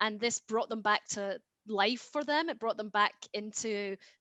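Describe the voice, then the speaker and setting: A woman with a Scottish accent speaks at a moderate pace in a bright, sharp tone, fairly high in pitch with ordinary variation, the sound dry and close with no echo. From Scotland. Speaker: genetic genealogist. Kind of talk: interview. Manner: hesitant, many fillers.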